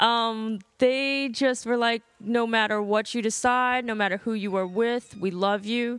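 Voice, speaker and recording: With an American accent and an ordinary speaking voice, a woman talks at a fairly slow pace, her fairly high pitch held in fairly even intonation. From US North. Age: 30s. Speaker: interview guest. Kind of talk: casual interview.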